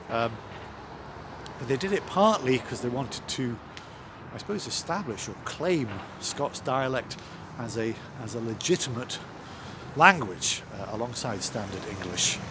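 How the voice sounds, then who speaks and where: A man talks at a medium pitch with lively intonation and a moderate pace. He takes long, frequent pauses against noticeable background noise. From Scotland (Ayrshire). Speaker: vicar. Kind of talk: vlog, casual talk to camera. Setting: outdoors. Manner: hesitant, many fillers.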